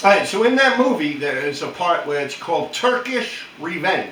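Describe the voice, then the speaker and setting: A man with a New York accent speaks at a moderate pace and with lively intonation. Audible room echo and noticeable background noise fill the recording. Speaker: YouTuber. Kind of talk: casual chat. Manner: tough-sounding.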